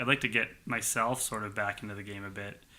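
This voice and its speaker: Bright, sharp tone from a man at a medium pitch and a fairly quick pace. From Halifax, Nova Scotia, Canada. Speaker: pathology resident doctor. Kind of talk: casual chat.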